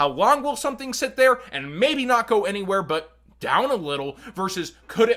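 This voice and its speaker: A man with an American accent talks in a raised, projected voice at a moderate pace. His tone is bright and sharp, and his pitch swings very widely. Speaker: trading card game content creator. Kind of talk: market analysis commentary.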